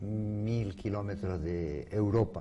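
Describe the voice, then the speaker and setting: A man's fairly low, dark, mellow voice, somewhat breathy, with ordinary pitch variation. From Canary Islands, Spain (Las Palmas de Gran Canaria). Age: 70s. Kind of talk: interview.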